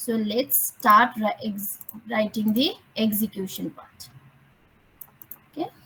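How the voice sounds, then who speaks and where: The pace is very slow, with long, frequent pauses and big swings in loudness. The tone is bright and sharp, with ordinary pitch variation. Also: woman, fairly high pitch for a woman. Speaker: programming teacher. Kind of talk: online lecture.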